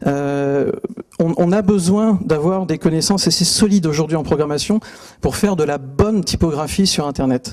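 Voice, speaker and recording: A man speaks with a fairly high voice. Background noise is noticeable. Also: ordinary pitch variation. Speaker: typography author and speaker. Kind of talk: conference talk. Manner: fast; hesitant, many fillers.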